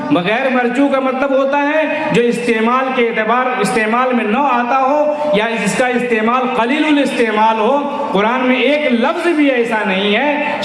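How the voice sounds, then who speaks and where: Loudness stays very even and intonation fairly even, with hardly any pauses, against noticeable background noise. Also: man, extremely high pitch for a man. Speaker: Islamic scholar giving a religious sermon. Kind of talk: religious sermon to a large gathering. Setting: public address at a large event with a PA system. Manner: oratorical, emphatic.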